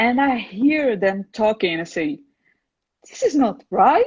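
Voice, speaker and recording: The sound of a woman's voice is dry and close, with no echo. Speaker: wine channel host. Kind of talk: interview conversation.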